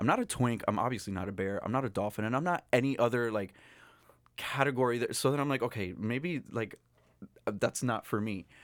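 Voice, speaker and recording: Here a man speaks at a fairly quick pace and a medium pitch, with ordinary pitch variation. It is a normal speaking voice on a very clean recording with a silent background. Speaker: guest. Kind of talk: casual chat. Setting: studio.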